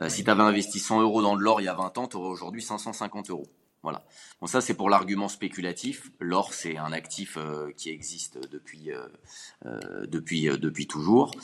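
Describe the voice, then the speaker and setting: Using a plain, everyday voice, a man at fairly low pitch speaks at a moderate pace with big swings in loudness. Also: ordinary pitch variation. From Paris region, France. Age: 30s. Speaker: business founder. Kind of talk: interview.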